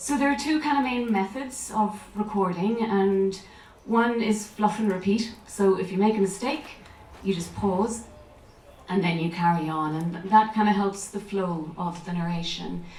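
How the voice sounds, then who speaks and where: Over noticeable background noise, a woman with a medium pitch speaks at a fairly slow pace. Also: ordinary pitch variation. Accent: Irish. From Ireland. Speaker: actress and voiceover artist; audiobook narrator. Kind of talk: talk to a festival audience.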